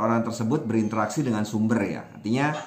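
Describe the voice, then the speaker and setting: Here a man speaks at a medium pitch with ordinary pitch variation. Audible room echo is present. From Indonesia, Minangkabau (West Sumatra); Indonesia. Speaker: language activist, Wikipedia editor; guest. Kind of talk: interview. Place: home room. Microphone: webcam.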